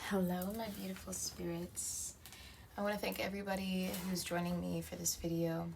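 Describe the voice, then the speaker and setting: Soft-spoken, a woman talks at a moderate pace. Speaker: tarot reader. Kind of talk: tarot reading.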